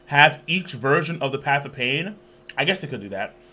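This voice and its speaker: A man's voice, bright and sharp in tone with vocal fry, shows big swings in loudness. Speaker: reaction streamer. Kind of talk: casual reaction commentary. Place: home room.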